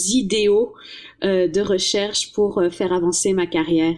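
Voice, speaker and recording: At a very slow pace, a woman talks with a medium pitch and fairly even intonation. Her tone is dark and mellow. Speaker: professor of language teaching. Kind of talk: interview.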